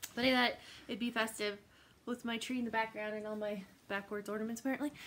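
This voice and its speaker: A woman with an American accent talks at a fairly high pitch. Her pace is very fast. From Mexican heritage, living in Colorado. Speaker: cross-stitch vlogger. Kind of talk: casual chat. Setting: home, sitting on the floor. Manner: animated.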